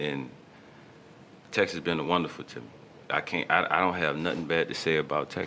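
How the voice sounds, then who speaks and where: In a New Orleans accent, a man with a very deep, low pitch talks at a fairly quick pace with fairly even intonation and long, frequent pauses. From New Orleans, Louisiana. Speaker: rapper. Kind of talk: radio interview.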